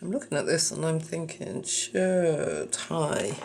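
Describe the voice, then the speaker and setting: Amid noticeable background noise, a woman with an English accent speaks at a very slow pace and fairly low pitch with lively intonation. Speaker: craft video creator. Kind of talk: tutorial. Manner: casual, thinking aloud.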